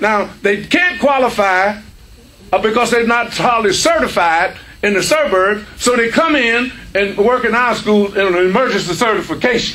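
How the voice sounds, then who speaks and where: A man speaks in a raised, projected voice at a moderate pace. His pitch varies in an ordinary way. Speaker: speaker. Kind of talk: lecture. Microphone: podium.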